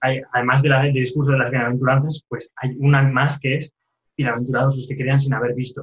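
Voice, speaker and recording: Somewhat breathy and flat in a monotone, a man speaks at a fairly quick pace and medium pitch. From Spain, Castellón. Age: young. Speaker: religious novice. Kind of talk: interview. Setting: phone call.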